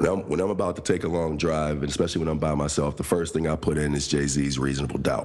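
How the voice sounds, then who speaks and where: With an American accent and a very deep, low pitch, a man races along at a very fast pace with hardly any pauses and fairly even intonation, over noticeable background noise. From Pittsburgh, Pennsylvania. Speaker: podcast co-host. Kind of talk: casual chat.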